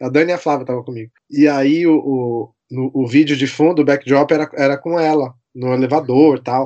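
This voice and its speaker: This man's pitch sits fairly high, and his intonation stays fairly even. It is an unremarkable speaking voice against a quiet background. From Brazil, São Paulo. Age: 30s. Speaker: TV producer and pop music fan. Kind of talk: casual podcast interview.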